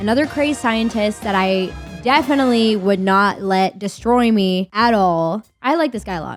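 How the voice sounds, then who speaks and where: Music plays behind a woman whose pitch varies in an ordinary way. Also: medium pitch for a woman, moderate pace. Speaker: streamer, content creator. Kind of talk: casual tier-list commentary to camera. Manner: crude, joking, energetic.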